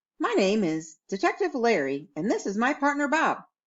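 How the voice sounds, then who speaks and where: A woman's put-on character voice, fairly high in pitch, with very wide pitch swings at a moderate pace. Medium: read story. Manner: mock-serious, dramatic.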